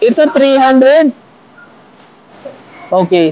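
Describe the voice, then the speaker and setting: A woman speaks with a high pitch. There is noticeable background noise behind her. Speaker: vlogger helping a street vendor. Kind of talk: casual street conversation.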